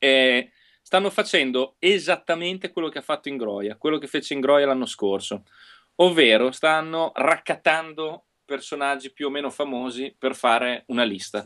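Against a quiet background, a man with a fairly high pitch and a bright, sharp tone talks at a moderate pace. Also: ordinary pitch variation. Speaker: local politician; guest. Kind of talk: casual chat. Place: home room. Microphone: unstable connection; earbuds.

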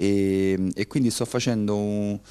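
The voice is a man's, with a fairly low pitch. Its tone is dark and mellow. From Civitavecchia, Lazio, Italy; Lazio, Italy. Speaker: artist; interviewee. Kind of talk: interview. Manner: halting. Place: hall. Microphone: handheld.

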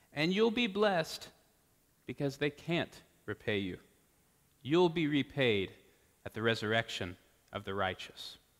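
Against a quiet background, a man with an American accent and a fairly high voice speaks at a fairly slow pace, his pitch swinging very widely between long, frequent pauses. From Texas (Austin); Texas. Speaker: priest; preacher. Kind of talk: sermon. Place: church. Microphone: podium.

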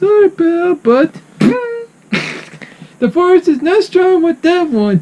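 A put-on character voice at an extremely high pitch goes along at a fairly slow pace. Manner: goofy, excitable.

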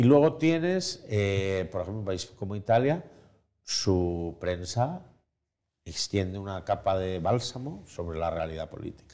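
Speaking at a fairly slow pace, a man uses lively intonation, a fairly low pitch and a dark, mellow tone. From Spain. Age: 40s. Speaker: journalist and writer; journalist. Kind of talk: interview conversation. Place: home room.

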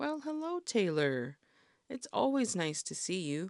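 Against a quiet background, a put-on character voice at a middle pitch moves at a fairly slow pace with very wide pitch swings. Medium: read story.

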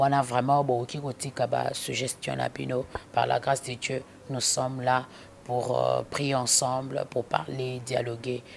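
Over light background noise, the voice moves at a very slow pace in a monotone, flat intonation. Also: woman, very deep, low pitch for a woman. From DR Congo. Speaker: gospel singer; interviewee. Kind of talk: interview. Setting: indoors. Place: home room. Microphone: handheld.

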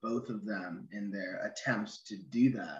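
A man with an American accent at a fairly slow pace, audible room echo over a quiet background. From Oregon, US (Ashland); Oregon. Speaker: novelist. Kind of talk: interview. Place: home room. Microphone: video call.

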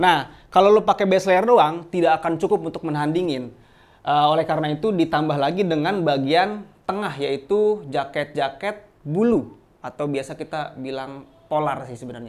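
Fairly high male voice with ordinary pitch variation and big swings in loudness. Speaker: outdoor gear shop presenter. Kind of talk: product demo and sales pitch, like a street seller hawking wares. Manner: fast, chatty, upbeat pitchman patter; casual Jakarta slang, hard-sell push to subscribe and buy. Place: shop.

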